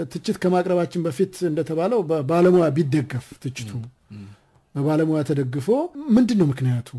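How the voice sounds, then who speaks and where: A man's fairly high-pitched voice, dark and mellow in tone, with lively intonation. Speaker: radio host. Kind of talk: radio interview. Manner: formal.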